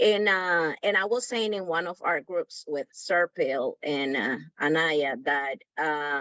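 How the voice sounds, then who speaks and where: A woman with a Spanish accent speaks at a very slow pace with hardly any pauses. Her pitch is fairly low and her intonation is lively. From Dominican Republic. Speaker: workshop participant. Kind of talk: group discussion comment.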